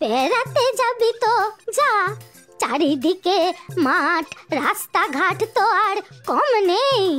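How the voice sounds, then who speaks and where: A woman speaks very slowly in an extremely high-pitched cartoonish character voice, with faint music in the background. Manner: scolding, suspicious, curt.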